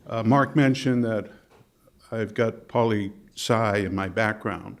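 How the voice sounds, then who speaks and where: A man speaks with a slight Boston accent. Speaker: management consultant and presenter. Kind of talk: workshop presentation. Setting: conference workshop with audience.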